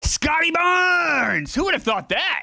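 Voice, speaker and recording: A man projects his voice loudly in a bright, sharp tone. The recording is very clean, with a silent background. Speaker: streamer playing a basketball video game. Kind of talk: casual live stream commentary. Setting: live stream with chat. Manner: fast.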